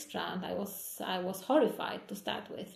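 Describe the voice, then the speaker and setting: There is noticeable background noise and audible room echo. A woman is speaking. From Poland. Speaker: hand surgeon. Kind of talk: interview. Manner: halting.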